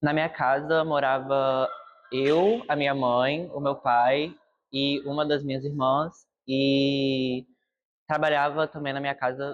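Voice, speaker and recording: Male voice at a medium pitch. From Brazil, Vitória (Espírito Santo). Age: young. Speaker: university student. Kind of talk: documentary interview.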